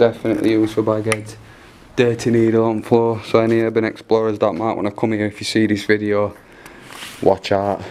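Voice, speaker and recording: Over light background noise, a man with a fairly low pitch speaks at a fairly quick pace in monotone, flat intonation. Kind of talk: casual vlog commentary. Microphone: phone near.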